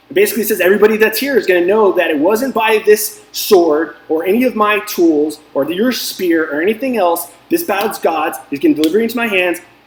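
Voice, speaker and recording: Noticeable background noise behind a man's high-pitched voice, fairly quick and lively in intonation, with hardly any pauses. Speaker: DFS coach and video host. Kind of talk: casual motivational talk. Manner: fast; animated.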